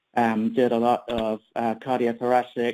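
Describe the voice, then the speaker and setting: A man with an English accent, medium-pitched and monotone, at a moderate pace, in a dry, close sound with no echo. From England. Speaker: perioperative nursing consultant. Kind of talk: webinar presentation. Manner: hesitant, many fillers.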